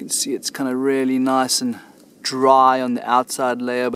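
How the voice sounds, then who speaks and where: A man at a moderate pace, with ordinary pitch variation and a dry sound with no echo. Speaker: solo bushcraft vlogger. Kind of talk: casual vlog chat. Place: forest. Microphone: phone near.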